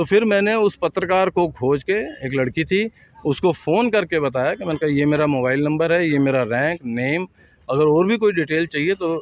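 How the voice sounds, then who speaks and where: A man with a normal speaking voice, fairly high in pitch, ordinary pitch variation, moderate pace. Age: 50s. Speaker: air force veteran and activist. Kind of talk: interview.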